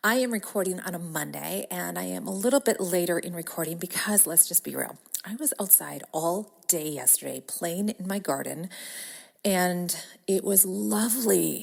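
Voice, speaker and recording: The recording is very clean, and the background is silent. A woman talks at a moderate pace. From Wisconsin. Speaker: podcast host, business coach. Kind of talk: podcast monologue. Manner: casual, chatty.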